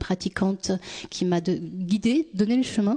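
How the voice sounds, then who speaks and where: At a fairly slow pace, a woman speaks at a medium pitch in a dark, mellow tone, with ordinary pitch variation and a quiet background. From France, born in Tunisia. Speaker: youth worker and activist. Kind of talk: personal testimony. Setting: stage with audience.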